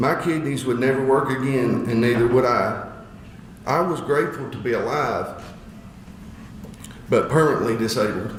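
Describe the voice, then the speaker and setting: A man with an Appalachian accent at a medium pitch and moderate pace, with long, frequent pauses, very even loudness, ordinary pitch variation, noticeable background noise and audible room echo. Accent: Appalachian Southern US. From Eastern Kentucky, Appalachia. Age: 40s. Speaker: speaker sharing personal story. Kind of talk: testimony speech. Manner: halting, with repetitions.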